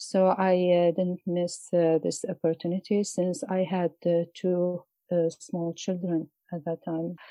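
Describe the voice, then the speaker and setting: A woman with an Iraqi accent talks at a fairly low pitch for a woman with fairly even intonation, in a dry, close sound with no echo. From Mosul, Iraq. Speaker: poet and journalist. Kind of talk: interview. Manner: halting.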